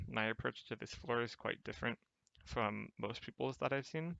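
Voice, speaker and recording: A soft-spoken man talks at medium pitch. His pace is fairly quick. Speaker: game guide narrator. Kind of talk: gameplay tutorial commentary. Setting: home recording, poor mic.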